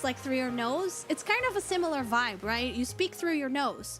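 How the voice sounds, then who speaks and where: With music in the background, a woman performs a put-on character voice, nasal and high in pitch, at a moderate pace. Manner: demonstrating a vocal technique.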